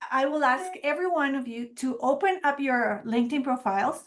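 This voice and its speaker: Against a quiet background, a woman with a Spanish accent talks at a fairly slow pace in a high pitch. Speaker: marketing trainer. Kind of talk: webinar presentation.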